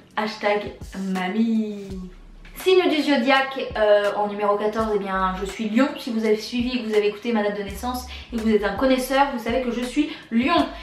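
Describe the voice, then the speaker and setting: A woman's fairly high voice at a moderate pace with ordinary pitch variation, over noticeable background noise and audible room echo. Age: 20s. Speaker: YouTuber. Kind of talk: casual tag video answering questions.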